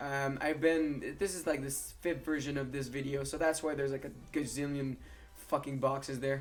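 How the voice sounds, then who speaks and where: Music plays in the background. A man speaks at a fairly high pitch. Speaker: gaming youtuber. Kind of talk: gameplay commentary. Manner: fast.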